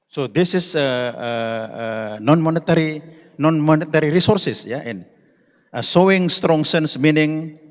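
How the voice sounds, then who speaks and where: Someone with an Indonesian accent speaks at a fairly slow pace with big swings in loudness, amid audible room echo. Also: man, fairly high pitch for a man, ordinary pitch variation. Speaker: conference speaker. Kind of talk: conference presentation. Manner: halting.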